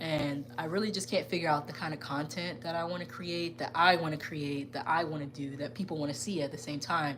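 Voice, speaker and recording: A woman with a very deep, low pitch, talking at a fairly quick pace with hardly any pauses and ordinary pitch variation, amid audible room echo and noticeable background noise. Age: 20s. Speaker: gaming YouTuber. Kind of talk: live stream casual chat. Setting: live stream from gaming room. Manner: conversational, many fillers.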